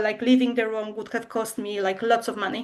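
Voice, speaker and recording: A woman with a fairly high pitch speaks in a Polish accent. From Poland. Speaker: language school co-founder. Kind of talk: webinar presentation. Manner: hesitant, many fillers.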